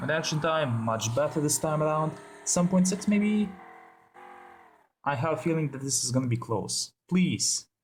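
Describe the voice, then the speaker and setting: Lively intonation from a man with a fairly high, somewhat breathy voice at a moderate pace. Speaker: gaming YouTuber. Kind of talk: gameplay commentary. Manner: casual, filler-heavy.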